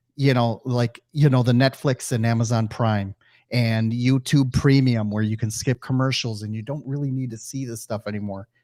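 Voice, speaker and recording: At a moderate pace, a dark, mellow voice with a slight Midwestern accent comes through a very clean recording with a silent background and a dry, close sound with no echo. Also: man, medium pitch for a man. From US Midwest. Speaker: podcast host. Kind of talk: interview. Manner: halting, many fillers.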